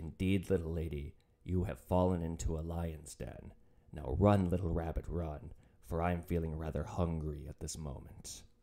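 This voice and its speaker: A man puts on a character voice. It has a very deep, low pitch and a moderate pace. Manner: menacing, theatrical.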